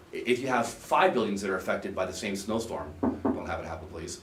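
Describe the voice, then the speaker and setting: With audible room echo and noticeable background noise, a man of medium pitch speaks at a very fast pace with lively intonation. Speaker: insurance agent presenting to board. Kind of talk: public meeting presentation.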